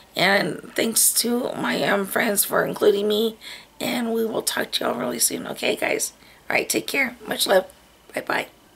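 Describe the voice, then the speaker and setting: Noticeable background noise runs under the recording. The woman speaking keeps a moderate pace. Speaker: beauty vlogger. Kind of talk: casual vlog talk. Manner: halting, many fillers.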